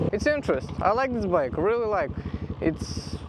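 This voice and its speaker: A man with a non-native accent, noticeable background noise behind him. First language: not English. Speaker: motorcycle vlogger. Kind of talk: casual bike review. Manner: halting.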